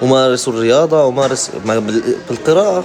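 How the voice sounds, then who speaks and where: With lively intonation and a fairly high pitch, a man talks at a moderate pace as music runs in the background. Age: 20s. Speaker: live-stream host. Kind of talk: casual live-stream chat. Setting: TikTok live stream.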